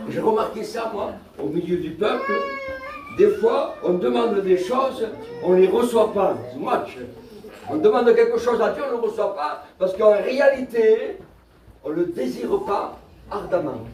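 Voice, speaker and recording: A man speaks at a fairly slow pace with long, frequent pauses. Audible room echo and noticeable background noise come through. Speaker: pastor. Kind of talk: sermon. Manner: soft-spoken.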